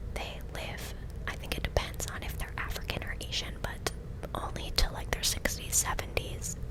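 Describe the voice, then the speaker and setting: Someone whispers at a moderate pace with an American accent. Noticeable background noise runs underneath. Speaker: ASMR creator. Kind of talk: ASMR whispered gameplay commentary. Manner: whispering; close-up.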